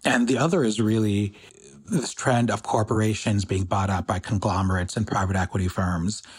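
A man's somewhat breathy, fairly low voice at a fairly quick pace, with ordinary pitch variation and very even loudness. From US, Pakistani immigrant family. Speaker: economic justice organizer. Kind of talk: interview.

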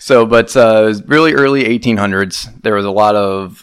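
Speaking at a fairly slow pace, a man uses an ordinary speaking voice with ordinary pitch variation. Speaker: podcast co-host. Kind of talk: casual chat.

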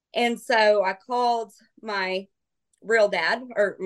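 A woman with an American accent speaks in a normal speaking voice at a medium pitch, with ordinary pitch variation. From Kansas, US. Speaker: model and content creator. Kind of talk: casual chat.

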